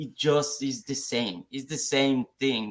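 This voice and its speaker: A man with a non-native accent at medium pitch, fairly slow and with fairly even intonation. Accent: noticeable foreign. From Mexico. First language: Spanish. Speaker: software engineer. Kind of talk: live talk show discussion. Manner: halting, repeats words.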